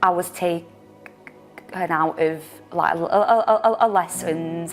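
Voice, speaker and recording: A woman's fairly low voice at a very slow pace, with music in the background. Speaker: digital marketing assistant. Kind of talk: personal testimony to camera. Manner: stammers, disfluent with repetitions and blocks.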